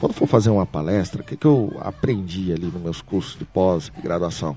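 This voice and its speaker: A man talks against noticeable background noise. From Brazil, Brasília. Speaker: tech entrepreneur. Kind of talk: interview. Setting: company office. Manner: frequent repetitions and hesitations.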